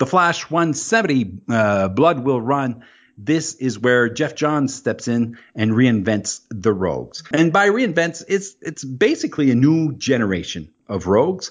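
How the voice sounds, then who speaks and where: A man speaks in an Acadian accent at a fairly slow pace. His pitch moves in very wide swings. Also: medium pitch for a man, hardly any pauses. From New Brunswick, Canada. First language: French. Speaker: guest co-host. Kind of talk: casual chat about comics.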